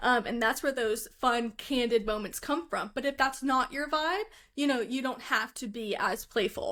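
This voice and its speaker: A woman with an American accent speaks loud at a moderate pace, with a high pitch and a bright, sharp tone. The recording is very clean, with a silent background. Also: ordinary pitch variation. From Philadelphia, US. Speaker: photographer. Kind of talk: casual chat.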